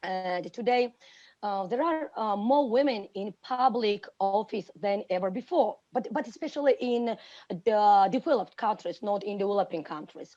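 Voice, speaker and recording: Over a quiet background, a woman with a Georgian accent talks with lively intonation at a fairly high pitch, her tone dark and mellow. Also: moderate pace. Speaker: teacher. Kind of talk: panel talk. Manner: halting.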